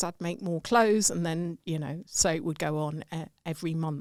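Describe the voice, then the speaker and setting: A woman talks with an English accent and ordinary pitch variation. The recording is very clean, with a silent background. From England. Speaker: sales and customer growth expert. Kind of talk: podcast interview.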